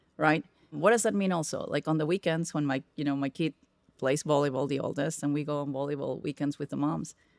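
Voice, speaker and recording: A woman with a very deep, low voice and a Spanish accent talks at a fairly quick pace with ordinary pitch variation, in a dry, close sound with no echo on a very clean recording with a silent background. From Peru. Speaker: tech executive. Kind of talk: podcast interview. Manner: gets loud when excited.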